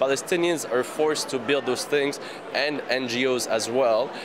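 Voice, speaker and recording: Medium pitch from a man, with audible room echo and noticeable background noise. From France. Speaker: water rights activist. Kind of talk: interview.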